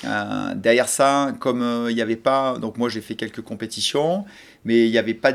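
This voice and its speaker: A medium-pitched man's voice at a fairly quick pace, with ordinary pitch variation. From French Alps (Hautes-Alpes). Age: 40s. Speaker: snowboard coach. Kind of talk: interview testimony. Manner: hesitant, many fillers.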